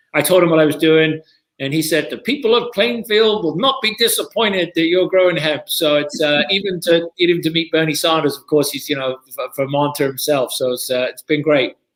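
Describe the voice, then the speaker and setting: A man with a British accent, fairly high-pitched, at a fairly quick pace with lively intonation. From Britain. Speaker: TV pitchman; hemp farmer. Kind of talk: interview answer.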